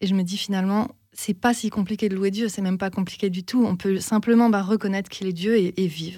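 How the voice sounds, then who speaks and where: A woman speaks fairly quickly at a medium pitch, her voice somewhat breathy with a dark, mellow tone. Her intonation stays fairly even, and the recording is very clean with a silent background. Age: 30s. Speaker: singer-songwriter. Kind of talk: interview.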